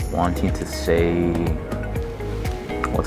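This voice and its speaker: Loud background noise accompanies a man speaking. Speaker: university student. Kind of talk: interview answer. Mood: earnest, determined.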